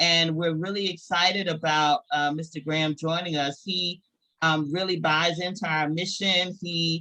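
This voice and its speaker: A woman with a Southern US accent speaks at a moderate pace, her fairly low pitch paired with a bright, sharp tone. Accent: Southern US (Georgia). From US South, rural Georgia. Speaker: business network host. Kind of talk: closing remarks at a virtual meeting. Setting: video call.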